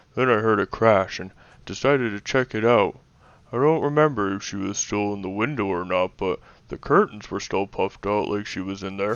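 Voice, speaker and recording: This man uses a put-on character voice at a fairly low pitch. He talks at a fairly quick pace. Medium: audio drama. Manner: hesitant, stammering.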